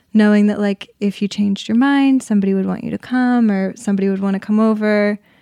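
A soft-spoken, dark and mellow tone at a very fast pace, fairly even in intonation, with hardly any pauses. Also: woman, medium pitch for a woman. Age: 20s. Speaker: actress. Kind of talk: casual chat.

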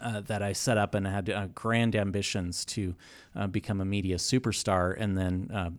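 A plain, everyday voice at a moderate pace, with fairly even intonation, on a very clean recording against a silent background. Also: man. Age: 40s. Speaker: podcast host. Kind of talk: casual chat.

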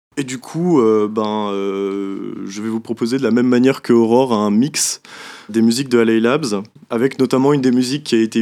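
On a very clean recording with a silent background, a man with a medium pitch and a dark, mellow tone speaks at a moderate pace with fairly even intonation. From Brittany. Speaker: young music columnist. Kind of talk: casual radio chat.

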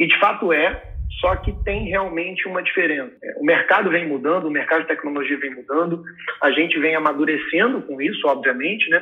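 Noticeable background noise sits behind a man with a high pitch. He talks at a fairly quick pace with ordinary pitch variation. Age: 20s. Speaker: business executive. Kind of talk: podcast interview.

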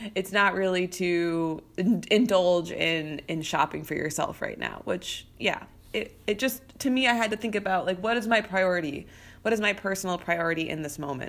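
A normal speaking voice with ordinary pitch variation moves at a moderate pace on a very clean recording with a silent background. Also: woman, medium pitch for a woman. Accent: American. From US Midwest, St. Louis suburbs. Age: 30s. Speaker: podcast host and business coach. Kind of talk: solo podcast monologue. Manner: casual, conversational with fillers.

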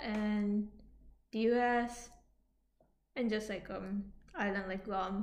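A woman's fairly high voice at a very slow pace, with fairly even intonation. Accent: Japanese. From Yokohama, Japan. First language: Japanese. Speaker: podcast host. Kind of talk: casual chat between a couple.

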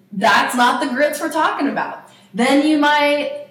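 Speaking with an American accent, a woman comes through audible room echo and noticeable background noise. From US South, East Tennessee. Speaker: podcast co-host, nonprofit worker. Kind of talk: casual chat.

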